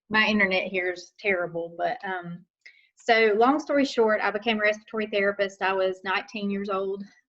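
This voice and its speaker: A woman with a Southern accent speaks at a medium pitch. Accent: local Southern. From western North Carolina, Caldwell County. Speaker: nurse and nursing instructor. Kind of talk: talk to a club. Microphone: unstable internet connection.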